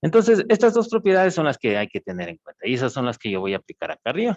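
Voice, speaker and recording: A man's voice with very wide pitch swings, dry and close with no echo. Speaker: university lecturer. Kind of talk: lecture.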